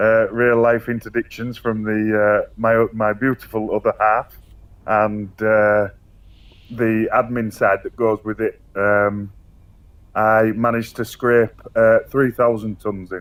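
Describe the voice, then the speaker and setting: Speaking very slowly in a flat monotone, a man with a medium-pitched voice talks in a Yorkshire accent. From Yorkshire, northern England. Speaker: online gaming community organiser. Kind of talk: casual interview. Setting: voice chat. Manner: hesitant, many fillers.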